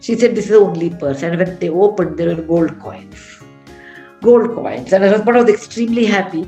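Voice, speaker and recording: With music in the background, a woman is talking. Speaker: author. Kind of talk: storytelling at a book session. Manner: conversational, hesitant.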